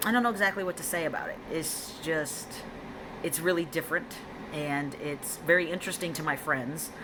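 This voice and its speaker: Over noticeable background noise, the speech comes at a moderate pace with ordinary pitch variation. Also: woman, fairly low pitch for a woman. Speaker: vlogger. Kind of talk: personal vlog update. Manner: female-sounding inflection; hesitant, many ums.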